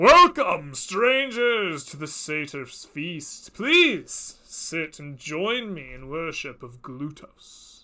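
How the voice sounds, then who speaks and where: Using a put-on character voice, a man speaks at a high pitch and a very slow pace with very wide pitch swings. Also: hardly any pauses, big swings in loudness. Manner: welcoming, hospitable.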